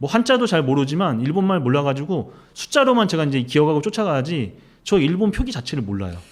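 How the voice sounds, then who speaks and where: With very wide pitch swings, a man delivers his words at a very fast pace. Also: fairly high pitch for a man. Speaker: investigative reporter. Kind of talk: interview. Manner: forceful, strong pronunciation.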